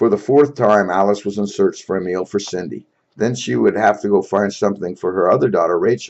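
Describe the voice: Plain reading aloud with lively intonation sits over a quiet background.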